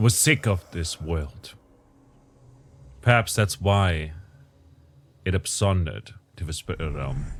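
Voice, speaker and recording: On a very clean recording with a silent background, a man with a very deep, low pitch and vocal fry speaks at a very slow pace with ordinary pitch variation and long, frequent pauses. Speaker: gaming commentator. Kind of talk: gameplay commentary with lore reading.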